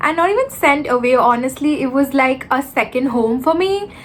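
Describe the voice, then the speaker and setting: A woman's moderate-paced speech, with ordinary pitch variation, is heard against noticeable background noise. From India (Mumbai and Kolkata). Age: 20s. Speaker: YouTuber. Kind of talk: casual chat. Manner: hesitant, filler-heavy.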